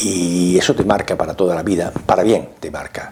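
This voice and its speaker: Against noticeable background noise, a man speaks with a very deep, low pitch and fairly even intonation. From Andalusia, Córdoba. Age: 70s. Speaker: sociologist. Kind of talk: interview testimony. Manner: halting, with many fillers.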